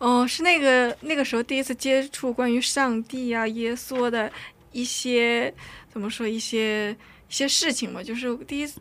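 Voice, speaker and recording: A woman's high voice keeps a fairly even intonation at a moderate pace. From North Korea, raised in China. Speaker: drama student. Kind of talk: testimony. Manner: halting.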